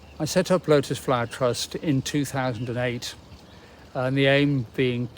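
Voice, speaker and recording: At a fairly slow pace, a man with a British accent talks at medium pitch with fairly even intonation. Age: 80s+. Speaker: charity chief executive. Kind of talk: appeal talk to camera. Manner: halting, with many fillers.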